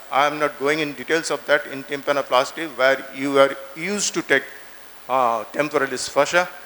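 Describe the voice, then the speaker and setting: Noticeable background noise runs under this recording. A man speaks at a fairly high pitch with ordinary variation. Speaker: ENT surgeon lecturer. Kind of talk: lecture. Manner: fast; halting.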